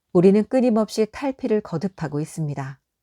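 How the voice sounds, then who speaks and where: Calm in tone and dark, mellow in sound, a woman speaks in a very clean recording with a silent background. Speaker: audiobook narrator. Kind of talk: audiobook reading for sleep. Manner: calm, soft-spoken.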